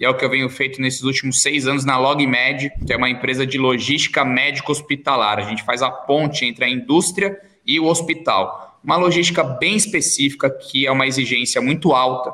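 This man talks at a fairly quick pace in an ordinary speaking voice. His pitch is medium, with ordinary variation. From Brazil, São José dos Campos (São Paulo state). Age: 30s. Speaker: entrepreneur. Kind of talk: podcast interview.

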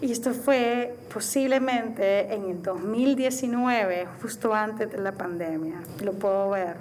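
There is noticeable background noise and audible room echo as a woman speaks at a fairly high pitch with ordinary pitch variation. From Honduras. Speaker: podcast guest. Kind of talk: casual chat.

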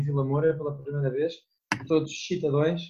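A somewhat breathy man's voice at a fairly high pitch. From Portugal. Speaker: student abroad. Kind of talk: casual chat.

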